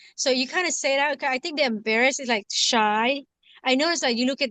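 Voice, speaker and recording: A woman's high-pitched voice with a strong Lao accent, ordinary pitch variation and a dry, close sound with no echo. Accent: heavy Lao. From Laos, moved to US at eleven. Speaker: community circle participant. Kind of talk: casual group chat. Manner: halting, many fillers.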